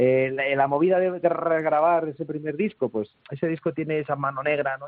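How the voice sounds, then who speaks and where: The speaker is a man with ordinary pitch variation. He goes at a very fast pace. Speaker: rock musician. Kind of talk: interview.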